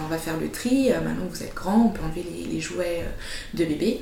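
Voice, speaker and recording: Soft-spoken and moving at a fairly quick pace, a woman talks over noticeable background noise. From Switzerland. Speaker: entrepreneur, founder of a service for mothers. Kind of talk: interview testimony.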